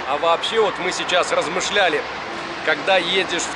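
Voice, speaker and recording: A man's voice in a dry sound with no echo, under loud background noise. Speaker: travel vlogger. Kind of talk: casual vlog chat. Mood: relaxed, reflective. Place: station. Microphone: phone near.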